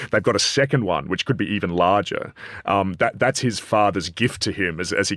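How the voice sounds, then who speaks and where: Recorded dry and close with no echo, a man speaks in a very deep, low voice at a fairly quick pace. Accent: Australian. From Australia, Adelaide. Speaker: politics professor. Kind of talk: panel discussion. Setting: studio.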